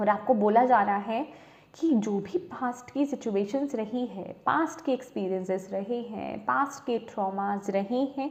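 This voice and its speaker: This woman's voice is fairly high, with lively intonation. Background noise is noticeable behind her. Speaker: tarot reader. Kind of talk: tarot reading.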